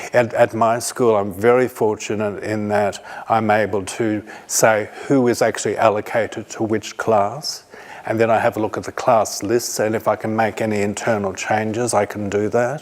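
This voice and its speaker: A man with an Australian accent speaks at a moderate pace and a fairly low pitch. His intonation is monotone and flat, with noticeable background noise. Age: 60s. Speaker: teacher. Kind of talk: conference talk.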